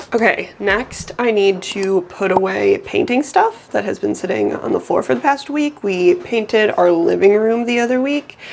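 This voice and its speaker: A woman's fairly high voice with lively intonation, a moderate pace and hardly any pauses, over noticeable background noise. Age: 20s. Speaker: lifestyle vlogger. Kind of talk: vlog narration to camera.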